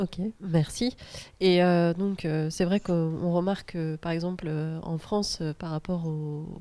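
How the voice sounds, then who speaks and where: A soft-spoken woman at a fairly low pitch, dark and mellow in tone, monotone and flat, at a very slow pace. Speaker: round table moderator. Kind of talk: panel moderation. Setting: round table with audience. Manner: hesitant, many fillers.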